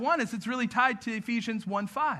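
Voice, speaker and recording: A man projects a raised voice at an extremely high pitch, his tone bright and sharp, with ordinary pitch variation over a quiet background. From grew up in a city, not local. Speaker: pastor. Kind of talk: sermon. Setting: church with audience.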